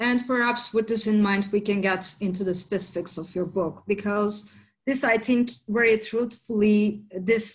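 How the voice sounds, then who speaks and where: At a fairly slow pace, a woman talks in a medium pitch, somewhat breathy. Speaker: interviewer, content director. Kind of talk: interview.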